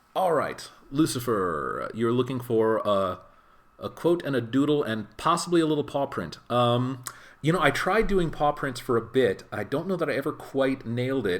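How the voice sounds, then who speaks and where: A man with an American accent speaks at a moderate pace in a medium pitch, using lively intonation and a relaxed tone. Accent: American, natural voice. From US, California and Midwest. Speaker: voice actor. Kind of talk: casual livestream chat while signing. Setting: livestream from a friend's home. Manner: relaxed, conversational.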